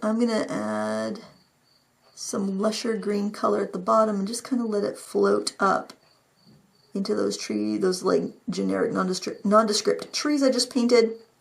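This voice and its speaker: In a put-on character voice, a raspy, female-sounding speaker mumbles at a moderate pace. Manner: mumbling.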